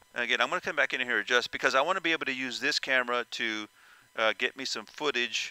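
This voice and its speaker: Loud and fairly quick, a man speaks with a bright, sharp tone in a dry sound with no echo. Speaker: VR flight sim content creator. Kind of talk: tutorial. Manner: halting, many fillers. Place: home room.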